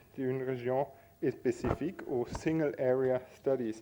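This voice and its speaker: Very slowly, a man talks with a non-native accent. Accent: non-native French speaker. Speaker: academic panel moderator. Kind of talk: conference moderation. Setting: conference with audience. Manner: halting, many hesitations.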